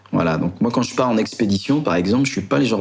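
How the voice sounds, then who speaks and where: A man speaks at medium pitch with lively intonation. Noticeable background noise is present. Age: 40s. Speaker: adventurer. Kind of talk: interview.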